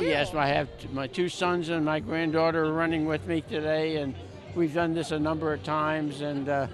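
Over clear background music, a man talks at a moderate pace with a fairly high pitch and ordinary pitch variation, the sound dry and free of echo. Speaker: elderly recreational runner being interviewed. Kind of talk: live TV interview answer. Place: street. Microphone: handheld.

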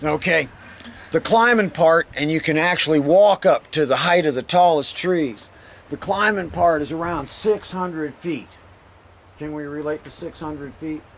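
A man talks at a moderate pace in an ordinary speaking voice with a fairly high pitch and ordinary pitch variation. His loudness swings widely over light background noise. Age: 60s. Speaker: rock climbing guide. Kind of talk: outdoor guided talk to a group. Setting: outdoors. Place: open country. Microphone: camera far.

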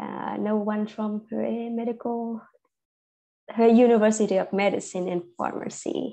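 A woman with a Vietnamese accent at a fairly slow pace, over a quiet background. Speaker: medical English teacher. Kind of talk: online class. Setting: video call. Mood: friendly, informal. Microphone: video call.

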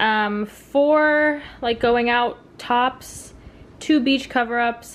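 This woman has a high pitch. Her intonation is fairly even. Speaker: lifestyle vlogger. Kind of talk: casual vlog narration. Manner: chatty, uses many fillers. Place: home room. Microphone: phone near.

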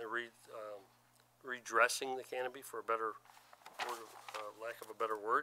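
The man's intonation is monotone and flat. He speaks at a moderate pace. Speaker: zoning board member. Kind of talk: board deliberation. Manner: halting. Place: meeting room.

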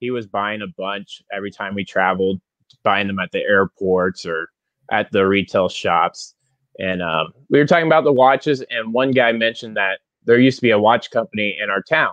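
Against a quiet background, a man talks at a moderate pace in a fairly low pitch, with a dry sound and no echo. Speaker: guest. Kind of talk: interview answer. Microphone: earbuds.

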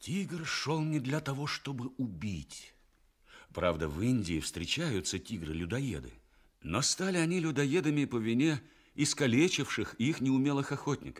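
This man talks at a medium pitch and a fairly slow pace. His pitch swings very widely against a quiet background. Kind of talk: radio play narration, fairy tale for children. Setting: radio broadcast, studio recording. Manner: warm, storytelling, expressive. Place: studio.

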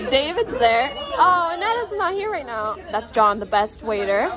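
A woman speaks at a fairly slow pace while clear music plays in the background. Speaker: vlogger on a cruise ship. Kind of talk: casual vlog chat. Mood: cheerful, playful. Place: hall. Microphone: phone near.

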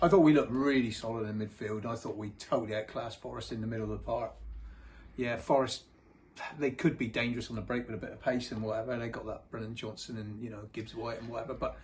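A man speaks at a very fast pace with a somewhat breathy voice. His intonation stays fairly even over light background noise. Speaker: guest. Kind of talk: casual chat. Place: home room. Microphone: phone near.

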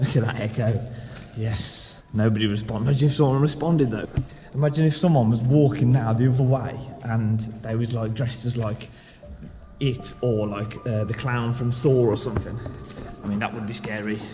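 A man at a fairly quick pace with fairly even intonation, faint music in the background. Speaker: vlogger exploring a tunnel. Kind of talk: casual vlog chat. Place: tunnel cave. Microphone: phone near.

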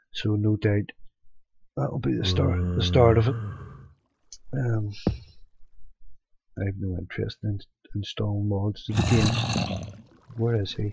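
A man speaks quietly at a fairly slow pace with a fairly low pitch, leaving long, frequent pauses, in a dry sound with no echo over loud background noise. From UK. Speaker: gaming youtuber. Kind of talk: let's play commentary. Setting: at home at night. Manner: casual. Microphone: cheap headset, mediocre quality; headset.

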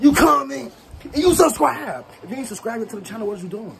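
Noticeable background noise surrounds this man's speech. He talks at a very fast pace. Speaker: prank vlogger. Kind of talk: casual vlog chat and staged phone call.

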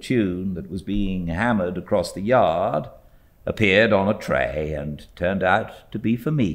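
Lively intonation in an unforced reading voice

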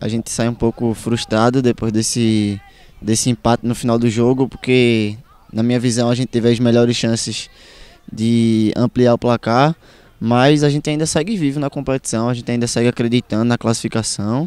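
A man's medium-pitched voice at a moderate pace, with fairly even intonation and a dry sound with no echo. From Cabo, Pernambuco, Brazil. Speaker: footballer. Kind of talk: post-match interview. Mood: calm, slightly frustrated, determined. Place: stadium. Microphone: handheld.

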